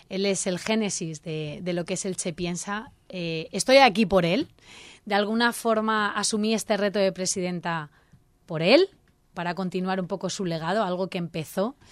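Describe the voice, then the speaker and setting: Heard on a very clean recording with a silent background, the speech moves at a moderate pace with ordinary pitch variation. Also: woman, medium pitch for a woman. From Spain, Elche (Alicante). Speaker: civic association president. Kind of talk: radio interview. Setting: radio studio. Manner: animated.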